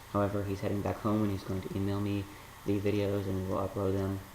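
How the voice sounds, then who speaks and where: Soft-spoken and very fast, a man talks at a fairly low pitch in a monotone, flat intonation, with light background noise and audible room echo. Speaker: college student; vlogger. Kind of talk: casual talk to camera. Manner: soft-spoken, quiet. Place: home room. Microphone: webcam.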